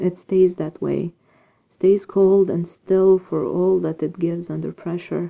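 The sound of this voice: Fairly even intonation in an unforced reading voice, with a quiet background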